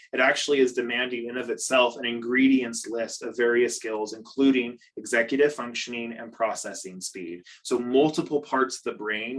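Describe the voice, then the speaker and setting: A man with a normal speaking voice talks at a moderate pace in a medium pitch, his intonation fairly even. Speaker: behaviour consultant and parent coach. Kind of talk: online training presentation. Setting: video call.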